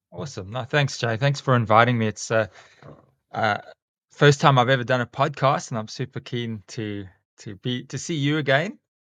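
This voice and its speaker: Recorded very cleanly against a silent background, a man with a South African accent talks at a moderate pace and medium pitch, with ordinary pitch variation and big swings in loudness. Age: 40s. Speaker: school teacher and snake catcher. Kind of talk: casual interview chat. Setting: podcast.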